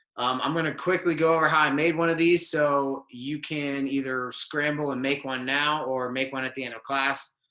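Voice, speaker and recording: A man talks in a plain, everyday voice with fairly even intonation. He barely pauses at all. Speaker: jiu-jitsu instructor. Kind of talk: online class instruction. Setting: video call.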